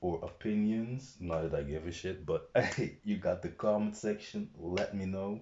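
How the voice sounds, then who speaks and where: Somewhat breathy, a man with a non-native accent speaks at a fairly slow pace. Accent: non-American, non-English. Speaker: vlogger. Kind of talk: casual monologue to camera. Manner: hesitant, many fillers.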